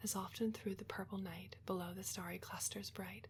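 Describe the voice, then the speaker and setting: A soft-spoken woman is talking. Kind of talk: poetry reading, quiet relaxation ASMR reading. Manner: quiet, soft-spoken.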